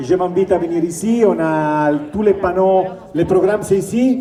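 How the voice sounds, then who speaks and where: Over noticeable background noise and audible room echo, a man with an Italian accent speaks in fairly even intonation. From Italy. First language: Italian (speaking French). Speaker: shopkeepers' association representative. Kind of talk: public announcement.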